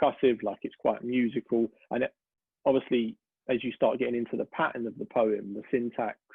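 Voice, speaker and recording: Fairly quick speech from a man at medium pitch, with fairly even intonation. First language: Cypriot Greek. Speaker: poet. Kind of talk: interview. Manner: hesitant, many fillers.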